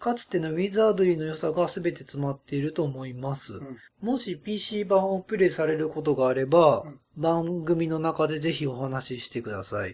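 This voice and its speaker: An unremarkable speaking voice, a man's, sits at a fairly high pitch with lively intonation and a moderate pace. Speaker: podcast host. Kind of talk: casual chat.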